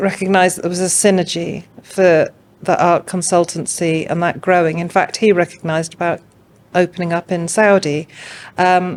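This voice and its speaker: A woman talks at a moderate pace with a slight English accent. Her fairly low voice keeps a monotone, flat intonation. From England. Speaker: art curator and consultant. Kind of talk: podcast interview.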